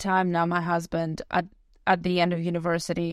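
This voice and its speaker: A woman with a fairly low pitch speaks at a fairly quick pace against a quiet background. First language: not English. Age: 20s. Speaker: podcast host. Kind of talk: personal storytelling monologue.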